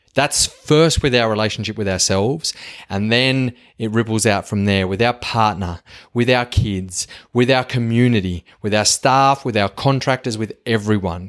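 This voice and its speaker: In a strong Australian accent, a man talks at a moderate pace with medium pitch and ordinary pitch variation, recorded very cleanly against a silent background. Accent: strong broad Australian. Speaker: podcast host. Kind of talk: solo monologue. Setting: home kitchen. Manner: animated.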